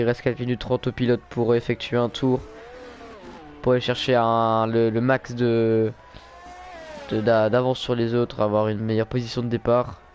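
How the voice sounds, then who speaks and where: With music in the background, a man speaks in a medium pitch. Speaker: sim racing league commentator. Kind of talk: live commentary. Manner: fast; animated.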